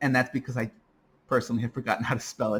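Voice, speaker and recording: The speaker is a man with a medium pitch. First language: Spanish. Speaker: math teacher. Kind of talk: lecture. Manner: many filler uhs.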